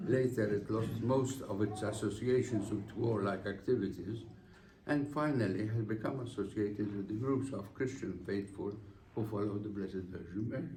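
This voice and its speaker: A man talks at a moderate pace with ordinary pitch variation in a somewhat breathy voice with a dark, mellow tone. Audible room echo surrounds his speech. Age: 80s+. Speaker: honoree giving acceptance speech. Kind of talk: formal speech. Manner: formal.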